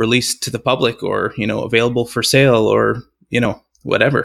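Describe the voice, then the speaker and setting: The recording is very clean, with a silent background. A man speaks at medium pitch in a monotone, flat intonation. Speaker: competition organizer. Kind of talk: interview.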